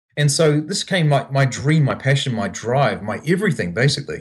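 Somewhat breathy, a man speaks with a New Zealand accent. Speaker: startup founder. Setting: video call from Japan.

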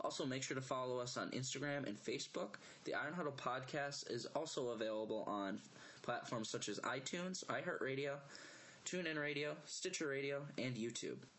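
A man's normal speaking voice, fairly high in pitch, with ordinary pitch variation, very even loudness and a fairly quick pace. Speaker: podcast host. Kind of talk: scripted intro.

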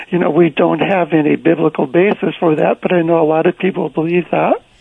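Noticeable background noise beneath a fairly quick pace. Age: 70s. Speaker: author and former pastor. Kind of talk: casual interview.

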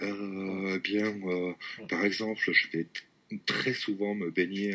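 Delivered at a very slow pace, this bright, sharp voice keeps a fairly even intonation. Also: man. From southwest France, rural village. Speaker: French teacher. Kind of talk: casual interview.

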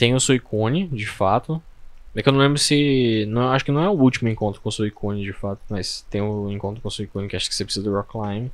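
Here a man talks at a very fast pace. His medium-pitched voice shows ordinary pitch variation. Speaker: podcast co-host. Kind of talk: casual chat.

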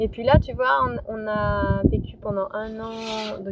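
Noticeable background noise fills the recording. Through it, a woman can be heard speaking. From France, Lyon. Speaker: sailor and boat cook. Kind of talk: interview. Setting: outdoors.

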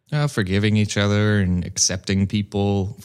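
A man with an American accent and an unremarkable speaking voice, fairly low in pitch, with fairly even intonation at a fairly slow pace, on a very clean recording with a silent background. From US Midwest, rural Missouri. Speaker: improv comedian and actor. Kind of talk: casual chat.

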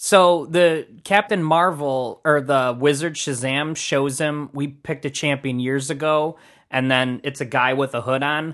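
Against a quiet background, a man with a normal speaking voice talks at a fairly slow pace with hardly any pauses, a fairly high pitch and fairly even intonation. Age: 30s. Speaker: podcast co-host. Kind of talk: casual chat.

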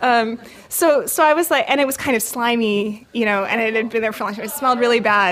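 Talking at a very fast pace, a woman with a West Coast accent has a fairly high pitch and ordinary pitch variation. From California, San Francisco Bay Area. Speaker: storyteller. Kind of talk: personal storytelling. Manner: halting, with frequent fillers.

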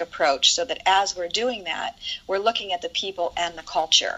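The speaker has an American accent and talks at a fairly quick pace with ordinary pitch variation. Noticeable background noise can be heard. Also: woman. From Ohio, US Midwest. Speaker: event producer and nonprofit organizer. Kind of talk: casual interview chat.

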